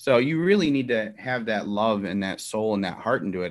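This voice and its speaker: Against a quiet background, a man with a Chicago accent talks at medium pitch with ordinary pitch variation. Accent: Chicago American. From Chicago, Elmwood Park. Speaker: executive chef. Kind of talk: interview.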